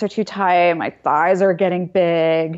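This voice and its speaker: This woman has a normal speaking voice at a medium pitch. She talks at a moderate pace. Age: 40s. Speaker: psychology professor. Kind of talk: interview.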